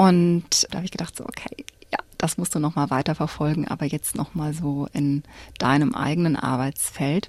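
This woman's very deep, low voice shows ordinary pitch variation at a moderate pace. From Cologne, Germany. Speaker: church community educator. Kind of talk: radio interview. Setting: studio. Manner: hesitant with filler sounds.

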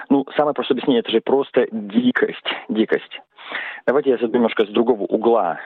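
A man speaks at a moderate pace. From Russia, Saint Petersburg. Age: 40s. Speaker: economist. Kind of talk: recorded personal statement.

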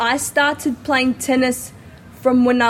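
A woman with an Australian accent and fairly even intonation, amid noticeable background noise. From Adelaide, South Australia. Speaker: tennis player. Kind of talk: interview.

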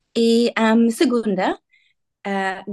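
In a dry, close sound with no echo, a woman speaks with an English accent. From Australia, Sydney. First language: English (speaking Portuguese). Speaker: ambassador. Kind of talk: interview. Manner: halting.

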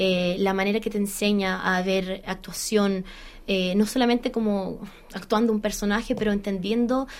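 Her intonation fairly even, a woman talks at a moderate pace in a medium pitch. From Australia, Chilean background. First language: English (speaking Spanish). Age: 30s. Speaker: musical theatre actress. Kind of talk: interview. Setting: studio.

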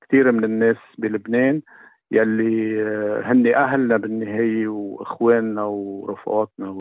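A man speaks at a medium pitch and a fairly slow pace. His intonation stays monotone and flat. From Lebanon, Ehden-Zgharta. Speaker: newspaper editor. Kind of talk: interview. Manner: halting.

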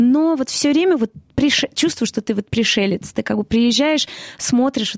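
A woman with a non-native accent talks at a fairly quick pace with ordinary pitch variation. The sound is dry and close, without echo. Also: very clean recording, silent background. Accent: non-native-sounding Russian, self-described. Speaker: musical theatre actress. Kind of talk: interview.

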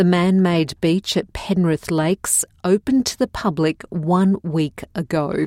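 A woman with an Australian accent speaks with hardly any pauses, her fairly low voice dark and mellow in tone, with ordinary pitch variation and a dry, close sound with no echo. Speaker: news presenter. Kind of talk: newsreading, scripted bulletin read aloud in clear, plain English for learners. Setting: studio. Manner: measured, even-paced and neutral; formal, clearly enunciated.

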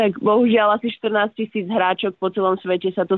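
Here a woman speaks at a moderate pace and a medium pitch. Her intonation is monotone and flat. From Slovakia, Prievidza. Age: 30s. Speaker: professional tennis player. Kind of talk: interview.

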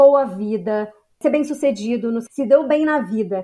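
Speaking fairly slowly with a Brazilian accent, a woman uses a fairly high pitch and ordinary pitch variation. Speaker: psychologist. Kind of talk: expert interview.

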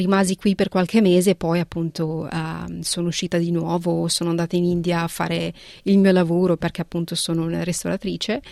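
A woman with a Punjabi accent speaks fairly quickly in a fairly low, dark, mellow voice with monotone, flat intonation and a dry, close sound with no echo. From northern Italy, raised there from age 11 after early childhood in Punjab. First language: Punjabi (speaking Italian). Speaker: art restorer. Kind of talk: interview. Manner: halting, with frequent repetitions.

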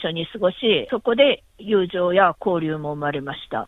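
This woman speaks at medium pitch with lively intonation. Her pace is moderate. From Japan, Kumamoto. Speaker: interpreter and translator. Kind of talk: interview. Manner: halting, many fillers.

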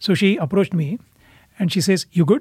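This man speaks with an Indian accent. His pace is moderate and his pitch variation is ordinary. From India (Pune, near Mumbai). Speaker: immigrant parent. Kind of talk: casual family conversation.

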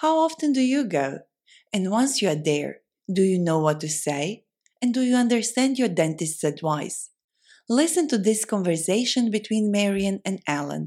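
With a dark, mellow tone, a woman speaks at a moderate pace, her pitch swinging very widely. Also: medium pitch for a woman. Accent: non-native. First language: not English. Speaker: language learning podcast host. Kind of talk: educational podcast chat.

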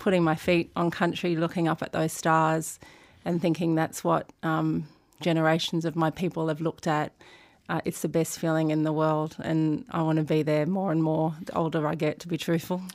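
Speaking with an Australian accent, a woman with a very deep, low pitch holds a moderate pace in a monotone, flat delivery, recorded very cleanly against a silent background. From Sydney, Australia. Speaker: lawyer and organisation chief executive. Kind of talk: interview.

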